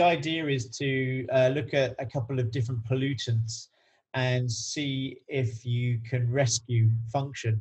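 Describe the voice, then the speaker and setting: A man speaks at medium pitch and a fairly slow pace. His voice is somewhat breathy. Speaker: coach and researcher. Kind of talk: podcast interview. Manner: halting, many fillers.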